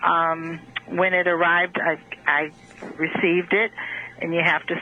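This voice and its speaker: There is noticeable background noise. Through it comes a woman's fairly low-pitched voice. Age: 60s. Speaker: caller. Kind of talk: phone-in question. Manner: halting.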